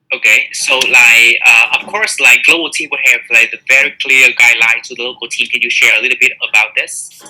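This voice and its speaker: The speech moves at a fairly quick pace with hardly any pauses. Noticeable background noise runs underneath. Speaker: webinar moderator. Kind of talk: panel discussion. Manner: fast; hesitant, many fillers.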